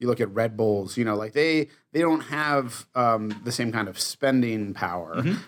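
With a plain, everyday voice, a man talks at a moderate pace and ordinary pitch variation, the recording very clean and the background silent. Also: medium pitch for a man. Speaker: podcast host. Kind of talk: casual chat.

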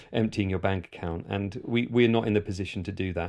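This man has a plain, everyday voice, pitched fairly low with fairly even intonation. The background is quiet. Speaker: documentary filmmaker and podcaster. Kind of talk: interview.

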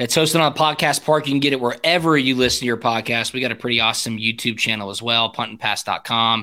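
Speaking at a very fast pace with hardly any pauses, a man uses a bright, sharp tone at medium pitch with ordinary pitch variation. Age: 30s. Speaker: former college football punter, podcaster. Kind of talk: casual chat.

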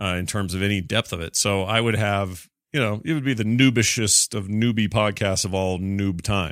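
Over quiet surroundings, someone reads in an unforced voice, keeping the intonation fairly even.

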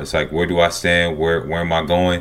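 A man's very deep, low voice with a Southern US accent. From US South. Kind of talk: casual sports podcast discussion. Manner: enthusiastic, animated.

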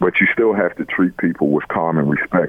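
A man with an American accent speaks at a very deep, low pitch with ordinary pitch variation over noticeable background noise. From US East Coast, Baltimore. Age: 50s. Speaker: college football coach. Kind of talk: radio interview. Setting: phone call. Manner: halting.

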